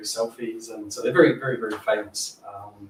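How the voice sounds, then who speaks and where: A man with a New Zealand accent at a fairly quick pace. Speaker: software engineer / data modelling expert. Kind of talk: panel Q&A at a meetup. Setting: stage with audience. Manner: fast.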